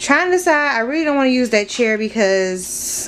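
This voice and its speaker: Over light background noise, a woman speaks with lively intonation at a moderate pace. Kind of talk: casual vlog chat. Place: home room. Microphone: phone near.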